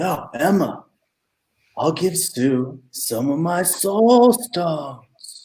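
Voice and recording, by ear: Using a put-on character voice with a dark, mellow tone, a man speaks very slowly at a fairly high pitch with big pitch swings.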